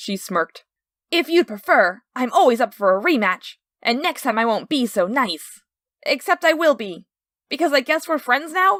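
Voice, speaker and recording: Doing a put-on character voice, a woman speaks loudly at a high pitch and a moderate pace on a very clean recording with a silent background. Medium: read story. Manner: loud, intense, overdramatic.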